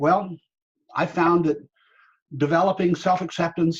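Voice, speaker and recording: A man's somewhat breathy voice moves along at a moderate pace. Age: 70s. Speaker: workshop facilitator. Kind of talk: webinar talk.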